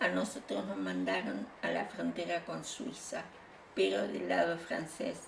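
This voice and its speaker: A woman talks fairly slowly in a room with audible echo and noticeable background noise. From Bolivia and Uruguay, Spanish-born exile. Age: 70s. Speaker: exile interviewee. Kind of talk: interview testimony. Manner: halting, frequent fillers.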